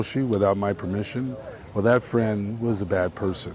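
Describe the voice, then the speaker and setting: A man speaks at a moderate pace in a fairly low pitch with fairly even intonation, over noticeable background noise. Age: 60s. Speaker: homeless man who repairs bikes. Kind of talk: street interview. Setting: outdoors on the street. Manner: halting, with repeated words and self-corrections.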